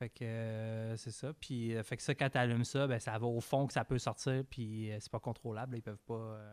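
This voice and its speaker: A man with a Quebec accent speaks at a medium pitch and a fairly slow pace in a monotone, flat way, in a very clean recording with a silent background and a dry, close sound with no echo. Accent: Québécois French. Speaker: podcast co-host. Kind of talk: casual chat.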